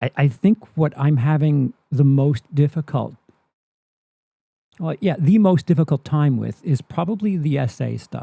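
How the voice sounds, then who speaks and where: In a dry, close recording with no echo, a man speaks fairly slowly in a fairly high, somewhat breathy voice. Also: ordinary pitch variation. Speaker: movie commentary streamer. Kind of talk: live stream reaction commentary. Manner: stammer; halting, many repeats and fillers.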